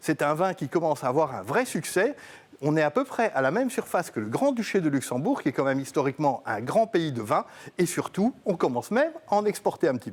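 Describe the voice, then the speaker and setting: Fairly quick male speech, fairly high in pitch, with very wide pitch swings. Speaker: TV wine columnist. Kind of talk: TV explainer segment.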